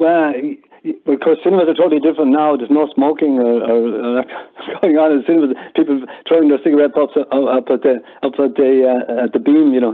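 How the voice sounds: A man at a fairly quick pace, few pauses and fairly even intonation. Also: medium pitch for a man.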